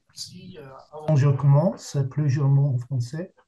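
A man with an English accent speaks in a dark, mellow tone at a fairly high pitch, somewhat breathy. His intonation is fairly even, and there is light background noise. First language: English (speaking French). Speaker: jury member, professor; professor. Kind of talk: formal prepared statement. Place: home room. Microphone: video call.

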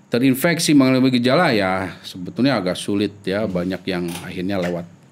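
Speaking at a fairly quick pace, the man has a fairly low pitch. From Indonesia. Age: 40s. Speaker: epidemiologist; guest. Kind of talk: interview; interview answer. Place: studio. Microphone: studio mic.

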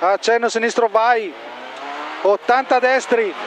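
Clear music sits in the background of this dry sound with no echo. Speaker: rally co-driver. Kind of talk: rally pace notes read aloud. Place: car. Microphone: helmet.

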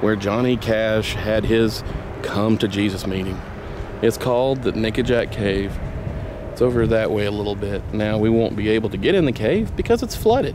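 A man with a fairly low pitch and fairly even intonation, at a moderate pace, in a dry, echo-free recording with noticeable background noise. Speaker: vlogger filming a trip. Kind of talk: casual vlog chat. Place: waterside. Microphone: phone near.

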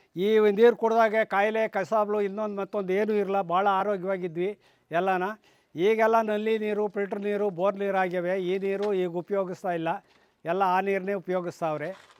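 A man speaks with a high pitch and monotone, flat intonation. The recording is very clean, with a silent background. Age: 80s+. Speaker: villager, former local council chairman. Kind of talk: casual on-camera interview.

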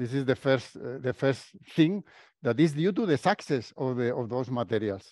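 A speaker with a Spanish accent talks at a moderate pace with lively intonation. The sound is dry with no echo, and the background is quiet. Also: man. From Spain. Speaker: professor. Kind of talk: lecture. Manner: halting. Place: meeting room.

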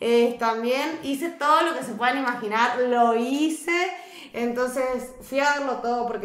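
A woman with a high voice talks at a moderate pace, her pitch varying in an ordinary way. Room echo is audible. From Argentina. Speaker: reality TV contestant; podcast guest. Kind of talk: casual interview. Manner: animated. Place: studio.

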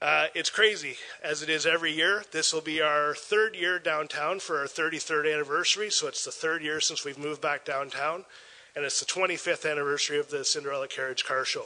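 This man's pitch sits fairly high. He talks at a fairly quick pace. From Port Elgin, Ontario, Canada. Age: 40s. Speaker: festival organizer. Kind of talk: public presentation. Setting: council chambers. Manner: enthusiastic. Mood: upbeat, promotional. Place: meeting room. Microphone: podium.

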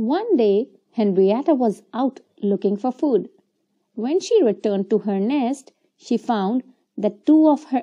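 Plain reading aloud, set against near silence

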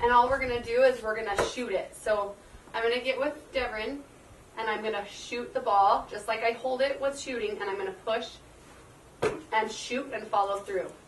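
Over noticeable background noise, a woman talks at a moderate pace with fairly even intonation. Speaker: PE teacher. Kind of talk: tutorial. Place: open country. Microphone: camera far.

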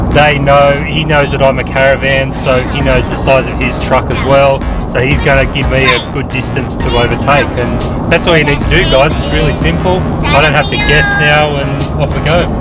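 The recording sounds dry with no echo, while music plays clearly behind the voice. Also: man, moderate pace. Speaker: travel vlogger driving. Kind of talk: casual vlog chat and tutorial. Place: car. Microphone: camera far.

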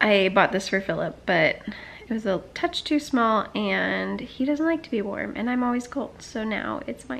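High-pitched, a woman speaks over light background noise. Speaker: vlogger. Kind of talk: casual vlog chat. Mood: reflective, gently upbeat.

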